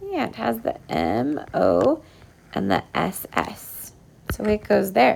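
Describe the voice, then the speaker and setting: A woman talks over noticeable noise in the background. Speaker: elementary school teacher. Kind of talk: tutorial. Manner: animated.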